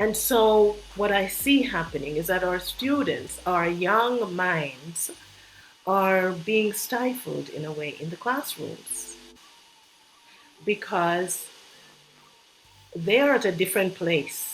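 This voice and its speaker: Lively intonation comes through at a very slow pace with long, frequent pauses over noticeable background noise. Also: woman, medium pitch for a woman. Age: 60s. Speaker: retired educator. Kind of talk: interview.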